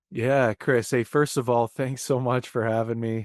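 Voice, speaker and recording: A man with a Canadian accent talks in a normal speaking voice at medium pitch with fairly even intonation. The sound is dry and close with no echo, over a quiet background. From Canada, Windsor, Ontario. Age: 30s. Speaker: indie rock musician. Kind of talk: casual interview chat.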